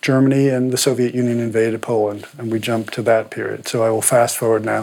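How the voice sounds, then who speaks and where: A man's voice against noticeable background noise. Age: 60s. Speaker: painter and biographer. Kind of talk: interview conversation.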